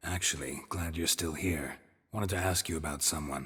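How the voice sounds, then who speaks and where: Putting on a character voice, a man sounds raspy and very deep, low in pitch. His tone is deadpan. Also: moderate pace. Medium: video game. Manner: terse, dry, deadpan.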